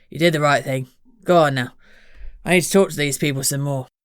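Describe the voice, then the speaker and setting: Using a gravelly, put-on character voice at a fairly high pitch, a man speaks at a very fast pace. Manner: reassuring, calm.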